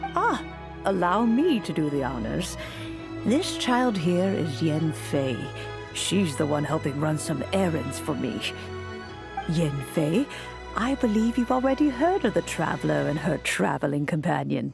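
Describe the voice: A woman's put-on character voice, low-pitched with vocal fry, big pitch swings and a fairly slow pace over clear music in the background.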